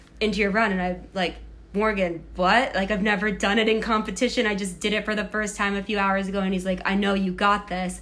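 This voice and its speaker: A woman with an American accent, medium pitch, and monotone, flat intonation, with audible room echo. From Massachusetts, near Boston. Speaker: Olympic skier. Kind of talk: casual chat. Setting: at home in apartment.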